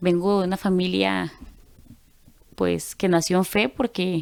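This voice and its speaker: A woman with a normal speaking voice at medium pitch and a fairly slow pace, in a very clean recording with a silent background. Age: 30s. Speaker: church group member. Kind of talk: testimony.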